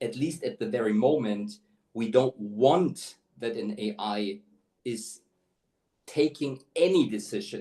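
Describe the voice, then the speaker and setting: With a non-native accent, a man talks at a fairly slow pace in a medium-pitched voice that is dark and mellow, with ordinary pitch variation and long, frequent pauses. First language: not English. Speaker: talent acquisition executive. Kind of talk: webinar interview. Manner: halting, many fillers.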